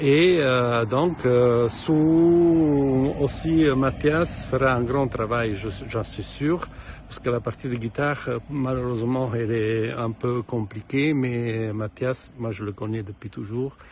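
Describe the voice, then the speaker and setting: Noticeable background noise sits under a man speaking with an Italian accent. His pace is very slow, his pitch medium, with ordinary pitch variation. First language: Italian (speaking French). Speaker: composer. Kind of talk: recorded presentation to an ensemble. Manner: halting, many hesitations and repetitions.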